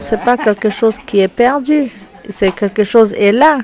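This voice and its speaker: The speech moves at a moderate pace with ordinary pitch variation. Noticeable background noise can be heard. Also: woman. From French Guiana. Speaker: wood sculptor and visual artist. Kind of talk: interview answer.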